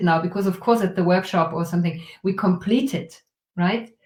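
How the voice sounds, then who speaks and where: The speaker is a woman. A somewhat breathy quality runs through her voice. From Germany. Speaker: trauma release workshop facilitator. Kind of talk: guided exercise in interview.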